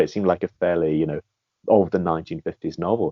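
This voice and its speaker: A man talks with a British accent. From Britain. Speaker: guest, film series fan. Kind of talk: interview.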